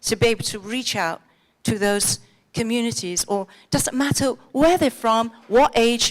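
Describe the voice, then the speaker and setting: Her fairly high voice carries an animated tone and lively intonation as the woman talks at a moderate pace. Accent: English. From England. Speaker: conference speaker. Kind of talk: conference talk. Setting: stage with audience.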